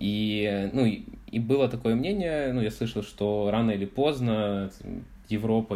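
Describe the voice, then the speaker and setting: A man with a dark, mellow tone and a fairly low pitch talks at a very slow pace. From Ukraine, Odesa. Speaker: podcast guest, former volunteer intern in France. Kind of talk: casual interview. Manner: halting, many fillers.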